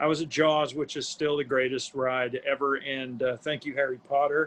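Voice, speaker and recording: A man with an American accent speaks at a fairly high pitch. His intonation stays flat and monotone. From upstate New York. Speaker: former theme park worker and news reporter. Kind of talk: casual chat.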